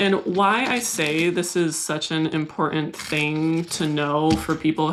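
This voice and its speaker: A woman with a Californian accent speaks at a moderate pace in a very deep, low pitch. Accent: Californian American. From US West Coast, San Diego. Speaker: plant YouTuber. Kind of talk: casual vlog talk to camera. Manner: mild stutter edited out.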